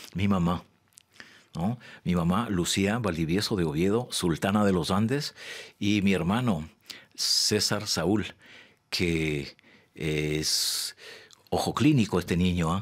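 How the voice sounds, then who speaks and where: Against a quiet background, a man speaks very slowly in a very deep, low pitch with ordinary variation, leaving long, frequent pauses. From Ecuador, Quito; Ecuador. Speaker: poet. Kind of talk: interview. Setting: studio. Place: studio. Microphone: studio mic.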